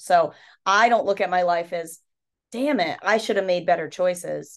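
Against a quiet background, a woman talks with an ordinary speaking voice. Her pitch sits fairly low, with ordinary variation. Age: 30s. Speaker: podcast host and life coach. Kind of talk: casual chat. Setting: hotel room.

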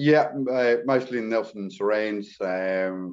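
A man with a slight English accent and ordinary pitch variation. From England (London area). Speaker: carpenter, renovation builder. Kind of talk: podcast interview. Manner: casual, hesitant with fillers.

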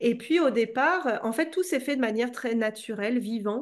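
Against a quiet background, a woman with an unremarkable speaking voice talks at a moderate pace in a fairly high pitch with ordinary pitch variation. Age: 30s. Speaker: entrepreneur and coach. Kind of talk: casual interview. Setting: at home.

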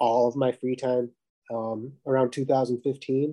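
The voice has a dark, mellow tone, monotone, flat intonation and an American accent, recorded with a dry, close sound and no echo. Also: man. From Minnesota. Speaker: artist and runner. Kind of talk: casual chat.

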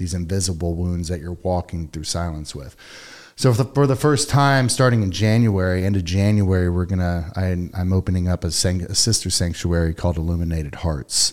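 A man with an American accent and a very deep, low pitch talks at a fairly quick pace. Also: ordinary pitch variation. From Texas, Katy. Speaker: war veteran and psychedelic retreat founder. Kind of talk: casual interview.

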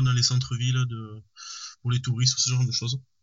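A man's voice at medium pitch. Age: 20s. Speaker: knife maker. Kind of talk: interview. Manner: halting, many hesitations.

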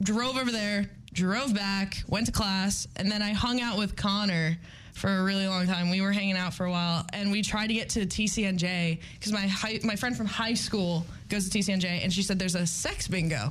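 At a moderate pace, a woman speaks in a somewhat breathy voice of medium pitch, her loudness very even and her intonation fairly even. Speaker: college radio co-host. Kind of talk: casual chat.

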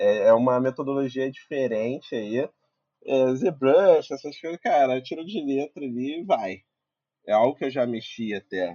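At a fairly slow pace, a man speaks in a plain, everyday voice at a medium pitch, with lively intonation. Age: 20s. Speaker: visual effects compositor. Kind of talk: casual chat. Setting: live video stream.

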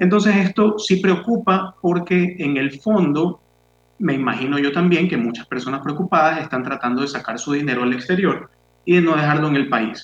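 A man with a normal speaking voice talks at a moderate pace. His pitch is fairly high and his intonation lively. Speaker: radio co-host. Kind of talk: radio talk show.

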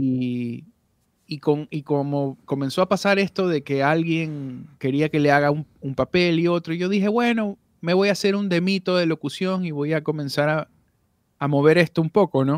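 Delivered at a moderate pace with ordinary pitch variation, the speech has a dry, close sound with no echo and a quiet background. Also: man, fairly high pitch for a man. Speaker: voice actor and audio producer. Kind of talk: casual interview chat.

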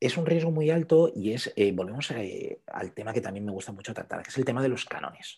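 A man's somewhat breathy voice with a dark, mellow tone, lively intonation and big swings in loudness, at a fairly quick pace with hardly any pauses. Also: medium pitch for a man. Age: 40s. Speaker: photographer. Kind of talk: interview.

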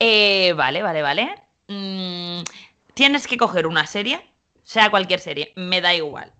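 At a fairly slow pace, a woman speaks with a medium pitch and lively intonation. Her tone is bright and sharp against a quiet background. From Valencia, Spain. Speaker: podcast host. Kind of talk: casual interview.

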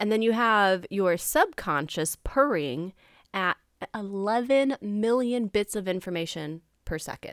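At a fairly slow pace, a woman with a medium pitch speaks in an animated tone and lively intonation, recorded with a dry, close sound with no echo and a very clean, silent background. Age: 30s. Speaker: podcast host. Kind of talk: casual solo monologue.

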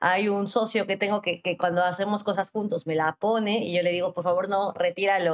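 In a plain, everyday voice, a woman speaks at medium pitch and a moderate pace with ordinary pitch variation. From Peru, Arequipa. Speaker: lawyer and entrepreneur. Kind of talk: interview.

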